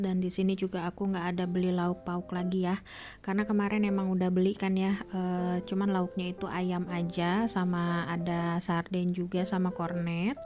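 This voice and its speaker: A woman with a dark, mellow tone speaks at medium pitch and a moderate pace. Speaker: housewife vlogger. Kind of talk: vlog voice-over narration. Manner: soft-spoken.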